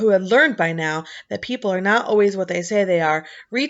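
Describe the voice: Someone reads text out in a plain way.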